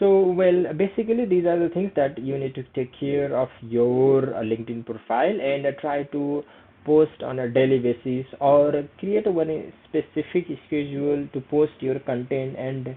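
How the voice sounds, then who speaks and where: A man with a Nepali accent speaks at a fairly slow pace with ordinary pitch variation. He hardly pauses at all. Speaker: career skills YouTuber. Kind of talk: tutorial. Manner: hesitant, many fillers; casual.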